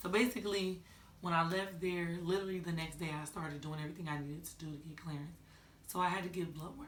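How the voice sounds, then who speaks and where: Over noticeable background noise and audible room echo, a woman with a fairly low voice speaks very fast in an animated tone, her loudness swinging widely. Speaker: vlogger. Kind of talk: casual vlog chat.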